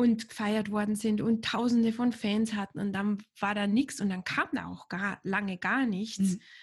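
Over a quiet background, a woman with a fairly high, somewhat breathy voice speaks at a moderate pace with fairly even intonation. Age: 40s. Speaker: podcast host. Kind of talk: interview.

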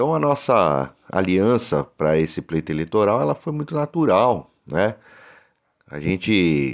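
The speaker talks at a fairly slow pace with very wide pitch swings. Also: man. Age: 40s. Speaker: union activist and vice-mayor candidate. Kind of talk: interview. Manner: halting, many fillers and repetitions.

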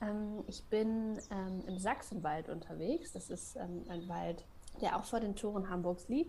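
Her intonation is lively, her pitch medium. The woman speaks at a very slow pace. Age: 30s. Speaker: freelance copywriter and forest bathing guide. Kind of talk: radio interview.

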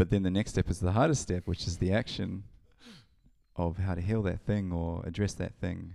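At a moderate pace, a man with a New Zealand accent speaks in a very deep, low voice with a dark, mellow tone and fairly even intonation. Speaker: DJ and event organiser. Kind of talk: casual chat.

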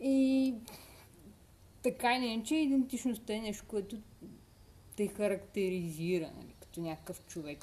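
A woman's somewhat breathy voice carries a dark, mellow tone and lively intonation. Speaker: podcast co-host. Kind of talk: casual chat.

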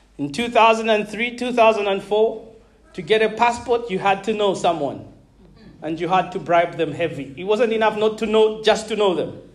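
A man speaks at a high pitch and moderate pace with ordinary pitch variation. Audible room echo surrounds the voice. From Zambia (Malawian family). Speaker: pastor. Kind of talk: sermon. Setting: church.

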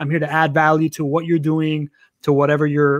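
On a very clean recording with a silent background, a man speaks at a fairly high pitch in a monotone, flat intonation. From Venezuela, raised in Miami. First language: Spanish. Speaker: podcaster, networking and content expert. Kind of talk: casual interview chat.

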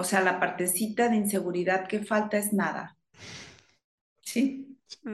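Somewhat breathy and medium-pitched, a woman speaks at a fairly slow pace with fairly even intonation, big swings in loudness, and long, frequent pauses. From northern Mexico, Chihuahua. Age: 50s. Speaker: yoga teacher. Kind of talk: interview.

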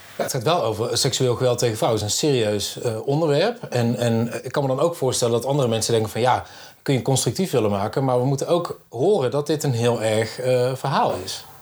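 Speaking at a fairly quick pace with hardly any pauses, a man of medium pitch shows ordinary pitch variation over noticeable background noise. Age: 30s. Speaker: podcast host, journalism lecturer. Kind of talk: casual chat. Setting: festival podcast recording.

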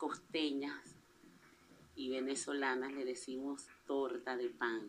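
Her very deep, low voice moves at a very slow pace, as this woman speaks in a monotone, flat intonation. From Venezuela, La Guaira coast. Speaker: small business owner, home baker. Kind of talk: personal testimony. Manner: halting.

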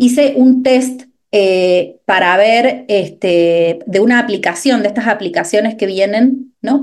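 Medium in pitch with ordinary pitch variation, this woman has a plain, everyday voice. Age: 30s. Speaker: nutrition coach. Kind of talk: interview.

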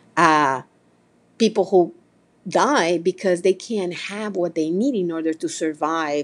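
Her pitch fairly low and varying in an ordinary way, a woman with a Spanish accent speaks at a fairly slow pace in a very clean recording with a silent background. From Mexico, small town. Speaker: podcast host. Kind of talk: holiday address to audience.

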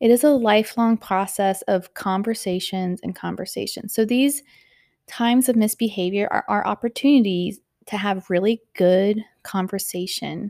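Speaking at a moderate pace in an ordinary speaking voice, a woman with a medium pitch and ordinary pitch variation comes through on a very clean recording with a silent background, dry and close with no echo. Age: 30s. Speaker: parenting podcast host. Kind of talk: solo podcast monologue.

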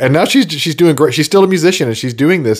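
A man's fairly high voice with very wide pitch swings and vocal fry. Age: 40s. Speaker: podcast host and video producer. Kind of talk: solo monologue podcast. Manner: casual, halting with frequent fillers.

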